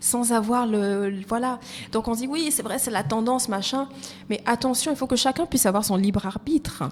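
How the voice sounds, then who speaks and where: This woman's voice sits fairly high. Her pitch varies in an ordinary way. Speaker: HR and recruitment consultant. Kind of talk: casual interview. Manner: fast.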